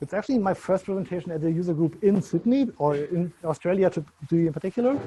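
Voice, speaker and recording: A man with a German accent talks at a very fast pace in a high pitch, his dark, mellow tone carrying ordinary pitch variation. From Germany. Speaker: software consultant. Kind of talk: conference talk.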